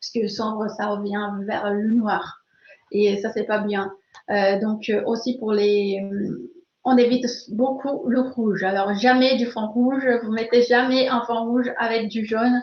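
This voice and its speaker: A woman's fairly high, somewhat breathy voice with a slight Brazilian accent, very slow pace and fairly even intonation. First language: Portuguese (speaking French). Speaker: learning expert, webinar speaker. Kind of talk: webinar Q&A. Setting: online webinar. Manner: hesitant, many fillers.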